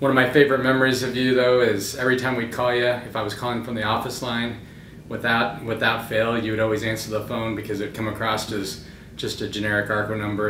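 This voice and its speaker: Very fast, monotone speech from a man with flat intonation, light background noise and audible room echo. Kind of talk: casual tribute message. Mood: warm, nostalgic, lightly amused. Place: office.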